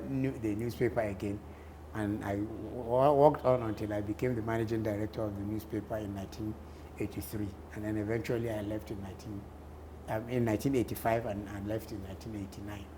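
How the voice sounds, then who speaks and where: With a northern Nigerian accent, a man talks at a fairly quick pace with fairly even intonation and big swings in loudness. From northern Nigeria, Kano. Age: 60s. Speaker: journalist and columnist. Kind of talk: interview.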